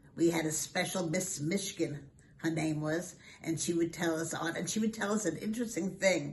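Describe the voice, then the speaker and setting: A woman's speech comes with noticeable background noise and audible room echo. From Brooklyn, New York. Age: 80s+. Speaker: school alumna. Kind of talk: interview.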